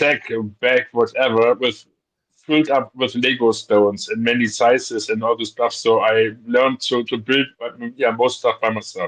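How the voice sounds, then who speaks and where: A man with a non-native accent, flat and monotone, at a moderate pace. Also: medium pitch for a man. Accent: foreign. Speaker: guest on toy livestream. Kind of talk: casual chat. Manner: halting.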